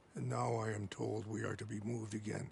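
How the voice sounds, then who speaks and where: Putting on a character voice, a man speaks raspy and fairly low at a fairly quick pace in a solemn tone, with clear background noise. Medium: video game. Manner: dignified, solemn.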